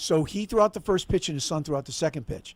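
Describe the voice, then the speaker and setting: A man speaks with lively intonation. The recording is very clean, with a silent background. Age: 60s. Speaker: former stadium announcer. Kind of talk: casual chat.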